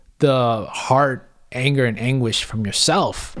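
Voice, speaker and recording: In a very clean recording with a silent background, a man at medium pitch speaks with a Cantonese accent and ordinary pitch variation. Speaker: English teaching assistant. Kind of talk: casual chat.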